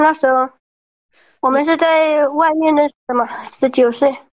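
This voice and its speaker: A woman speaks at a high pitch. Her intonation is fairly even. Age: 20s. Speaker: caller seeking advice. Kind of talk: advice call-in. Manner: halting.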